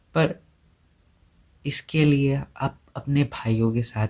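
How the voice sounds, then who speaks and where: Somewhat breathy and dark, mellow in tone, a man speaks with an Assamese accent and ordinary pitch variation. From India, Assam (Guwahati). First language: Assamese (speaking Hindi). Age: 20s. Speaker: content creator. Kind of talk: personal vlog monologue. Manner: hesitant, with fillers.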